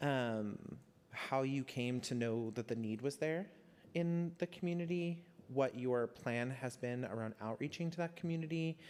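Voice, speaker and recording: At a moderate pace, a man with a medium pitch and ordinary pitch variation talks in an unremarkable speaking voice. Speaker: community council member. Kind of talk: meeting discussion.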